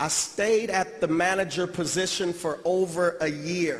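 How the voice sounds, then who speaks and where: A man speaks at a high pitch with fairly even intonation. Noticeable background noise runs underneath. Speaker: motivational speaker. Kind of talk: motivational speech.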